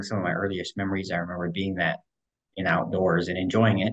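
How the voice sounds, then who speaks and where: Over a quiet background, a man with an American accent and a very deep, low pitch talks at a very fast pace in a monotone, flat intonation. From US Southwest, Kingman, Arizona; Arizona. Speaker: wildlife biologist; interview guest. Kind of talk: casual interview. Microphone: video call.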